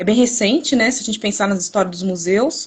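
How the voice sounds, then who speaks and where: Pitch varies in an ordinary way. There is a somewhat breathy quality to the voice. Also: woman. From Brazil, São Paulo state. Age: 20s. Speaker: museology student. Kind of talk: live stream presentation. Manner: hesitant, repeats words.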